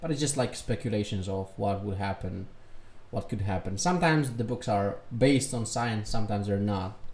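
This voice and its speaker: In a Serbian accent, the somewhat breathy voice moves at a fairly quick pace with ordinary pitch variation. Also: man, fairly low pitch for a man. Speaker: reaction youtuber. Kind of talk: reaction commentary.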